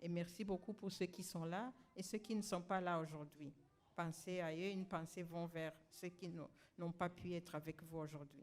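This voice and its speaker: At a moderate pace, a woman speaks in a normal speaking voice with a fairly low pitch and fairly even intonation. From Rwanda. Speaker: honoree and activist. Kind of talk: ceremony acceptance speech. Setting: graduation ceremony with audience.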